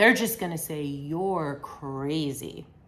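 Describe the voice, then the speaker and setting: This woman's voice has a bright, sharp tone. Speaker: psychotherapist. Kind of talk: educational talk to camera. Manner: slow, deliberate.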